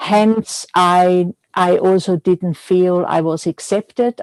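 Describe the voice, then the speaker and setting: With a slight Austrian accent, a woman speaks at a very slow pace and fairly even intonation. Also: dry, close sound with no echo. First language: German. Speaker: milliner. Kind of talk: interview. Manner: halting.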